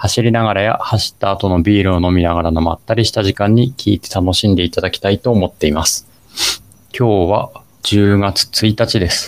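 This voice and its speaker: In a plain, everyday voice, a man speaks at a fairly low pitch and moderate pace with fairly even intonation, the sound dry and close with no echo. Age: 40s. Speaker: amateur runner podcast co-host. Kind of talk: casual chat; scripted narration.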